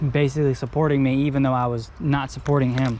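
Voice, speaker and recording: Very fast speech comes through noticeable background noise. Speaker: fishing vlogger. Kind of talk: casual vlog monologue. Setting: outdoors at a creek. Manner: rambling, hesitant.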